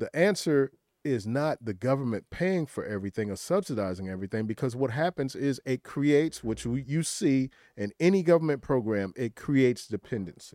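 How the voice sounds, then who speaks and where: In a very clean recording with a silent background and a dry, close sound with no echo, a man with an American accent speaks at a fairly quick pace, his pitch medium and his tone dark and mellow. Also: lively intonation. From rural South Carolina. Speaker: entrepreneur, political commentator. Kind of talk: panel discussion.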